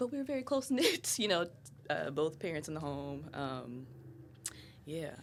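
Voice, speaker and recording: Her tone animated, a woman speaks with very wide pitch swings. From Ohio. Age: 20s. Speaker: podcast guest, mother. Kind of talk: casual chat.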